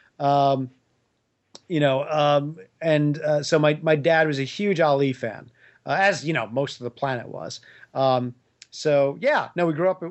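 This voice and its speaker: In an American accent, the speaker talks at a fairly slow pace with long, frequent pauses and ordinary pitch variation. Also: man, fairly high pitch for a man. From New York. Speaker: comic book writer. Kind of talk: casual chat. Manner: relaxed, joking.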